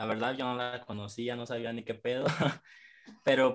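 Here is a man with an ordinary speaking voice. His pitch is medium, and his pace is moderate. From Mexico, Michoacán (Jacona). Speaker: rapper. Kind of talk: casual chat.

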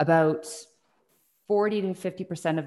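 Moderately paced speech from a woman with a Western Canadian accent and ordinary pitch variation. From British Columbia, Canada (Burnaby, Salt Spring Island). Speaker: tribunal chair and law professor. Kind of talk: interview.

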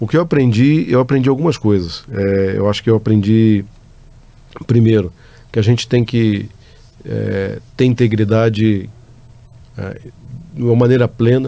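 At a fairly slow pace, a man with a medium pitch and ordinary pitch variation talks with long, frequent pauses. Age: 50s. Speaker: company executive. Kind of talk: interview answers. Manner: halting, many fillers.

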